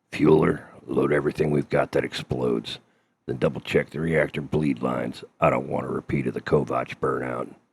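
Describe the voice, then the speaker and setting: A man puts on a character voice that is raspy and very deep, with monotone, flat intonation at a moderate pace. The sound is dry and close, with no echo. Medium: read story. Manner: terse, gruff, commanding.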